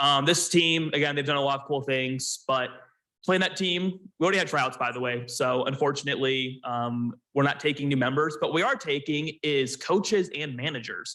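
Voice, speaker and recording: This man's voice is loud, with a bright, sharp tone. He keeps a moderate pace and ordinary pitch variation. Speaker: college esports team lead. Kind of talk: presentation at club meeting.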